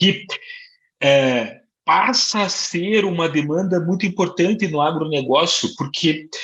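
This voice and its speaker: Speaking in a Curitiba accent, a man keeps a fairly slow pace with lively intonation. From Curitiba, southern Brazil. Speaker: management consultant, civil engineer. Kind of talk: webinar presentation.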